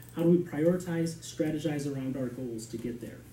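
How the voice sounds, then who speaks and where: This man talks at a very fast pace in an American accent, with a fairly high pitch and ordinary pitch variation. Noticeable background noise and audible room echo fill the recording. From Shorewood, Wisconsin, US Midwest. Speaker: village board candidate. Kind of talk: interview answer at public meeting. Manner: halting, many repeated words and fillers.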